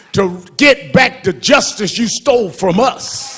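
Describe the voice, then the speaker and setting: A man speaks with an American accent and lively intonation. Crowd noise can be heard in the background. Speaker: reverend, civil rights activist. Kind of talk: eulogy at a memorial service. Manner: impassioned, emphatic.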